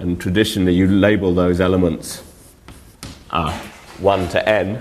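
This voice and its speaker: With audible room echo, a man talks at a moderate pace in a very deep, low voice. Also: fairly even intonation. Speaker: mathematics lecturer. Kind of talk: lecture. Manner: halting, many fillers.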